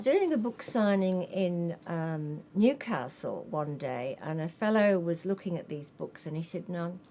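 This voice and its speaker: The intonation is lively, with noticeable background noise behind it. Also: woman, fairly low pitch for a woman, fairly slow pace, hardly any pauses. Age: 70s. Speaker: author and nurse. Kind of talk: interview.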